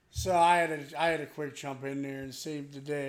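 With a normal speaking voice, a man talks at a fairly high pitch with fairly even intonation. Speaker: podcast host. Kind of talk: angry rant, profane, ranting about people who follow the crowd; casual banter, crude comedy chat.

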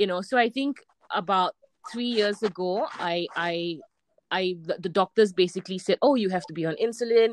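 Recorded with a dry, close sound and no echo, a woman uses a normal speaking voice at a medium pitch, a moderate pace, and ordinary pitch variation. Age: 30s. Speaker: amateur triathlete. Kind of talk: interview.

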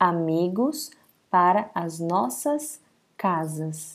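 On a very clean recording with a silent background, a woman with a fairly low-pitched voice talks very slowly, her intonation lively. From Amazonas, northern Brazil. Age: 20s. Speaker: language-learning podcast host. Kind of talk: scripted reading for language learners. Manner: slow and deliberate; normal conversational pace.

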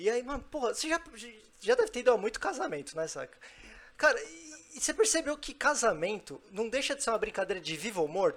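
A man talks very fast at an extremely high pitch, with very wide pitch swings and big swings in loudness. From Brazil, São Paulo. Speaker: live show host. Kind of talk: casual chat. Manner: animated.

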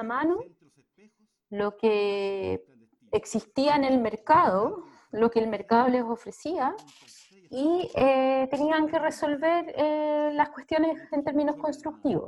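A woman with a Chilean accent speaks at a very slow pace with a high pitch and lively intonation. Her loudness swings widely. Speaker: social anthropologist. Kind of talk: interview.

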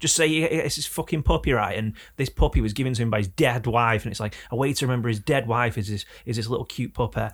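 Speaking very fast with vocal fry, a man with an English accent uses a medium pitch and ordinary pitch variation in a very clean recording with a silent background. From England. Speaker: podcast host. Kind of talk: casual chat. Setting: studio.

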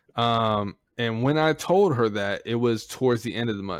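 The background stays quiet. A man talks, his pitch moving in an ordinary way. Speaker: podcast host. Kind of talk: casual chat. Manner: profane, animated.

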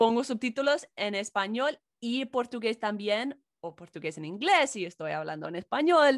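A woman's fairly high voice with very wide pitch swings at a moderate pace, dry and close with no echo, against a quiet background. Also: big swings in loudness. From US, Chicago. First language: English (speaking Spanish). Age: 20s. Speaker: YouTuber and English teacher. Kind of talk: casual chat.

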